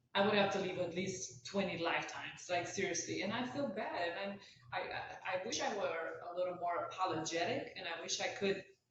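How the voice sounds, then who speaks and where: A woman speaks at a fairly quick pace in a Romanian accent, with ordinary pitch variation. Noticeable background noise and audible room echo fill the recording. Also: medium pitch for a woman. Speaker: author. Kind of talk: casual chat.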